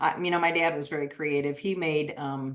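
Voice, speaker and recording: A woman with a US Midwestern accent speaks in a very deep, low pitch. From US Midwest, Iowa. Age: 60s. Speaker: artist. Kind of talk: interview.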